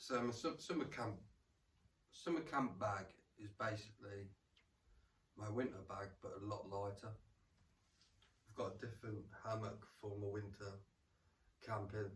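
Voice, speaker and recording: A man with an English Midlands accent, somewhat breathy, at a fairly slow pace with ordinary pitch variation and long, frequent pauses. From England, Rutland. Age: 40s. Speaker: camping vlogger. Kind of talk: casual gear walkthrough. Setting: at home in lounge. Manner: casual, repetitive stammering.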